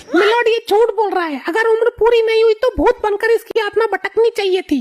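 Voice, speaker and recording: A cartoonish character voice runs at a fairly quick pace. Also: woman, extremely high pitch for a woman. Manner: sharp, scornful.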